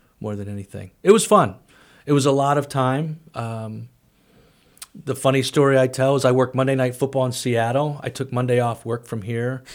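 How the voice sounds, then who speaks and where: A man with a Midwestern American accent speaks with big swings in loudness on a very clean recording with a silent background. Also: medium pitch for a man, ordinary pitch variation, moderate pace. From US Midwest, St. Louis area. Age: 50s. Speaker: college athletic director. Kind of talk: casual interview. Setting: studio.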